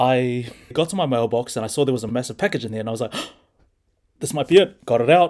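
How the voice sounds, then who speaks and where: A man with a New Zealand accent, at a very fast pace. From New Zealand, Hamilton. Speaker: prospective missionary, young church member. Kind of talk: personal testimony in casual chat.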